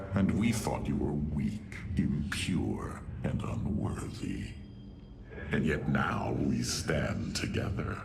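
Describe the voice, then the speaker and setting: A man's put-on character voice at a very slow pace, against loud background noise. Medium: machinima. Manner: sardonic, mocking.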